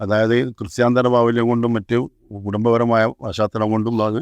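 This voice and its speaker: Over a quiet background, the voice stays monotone with flat intonation. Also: man. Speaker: retired school principal and amateur actor. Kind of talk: interview answers.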